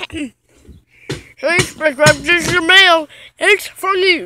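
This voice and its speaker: In a put-on character voice pitched extremely high, the speaker goes at a fairly slow pace. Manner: put-on cartoon voice.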